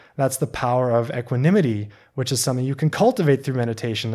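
With a Canadian accent, a man talks at a very fast pace in a medium pitch with ordinary pitch variation, in a very clean recording with a silent background. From Canada, British Columbia (Okanagan). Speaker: long-term tea student. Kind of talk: casual interview conversation.

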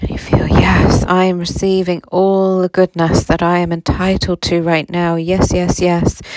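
A woman's fairly low, monotone voice, soothing and gentle in tone, at a fairly slow pace with hardly any pauses, dry and close with no echo, over noticeable background noise. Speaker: spiritual guide and meditation host. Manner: slow, soothing, gentle and calming, with warm laughs; warm and reassuring.

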